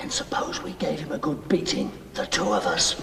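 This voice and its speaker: A put-on character voice whispers at a moderate pace. Clear echo surrounds it. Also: man. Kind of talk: amateur student stage acting. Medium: stage play. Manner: plaintive, short questions.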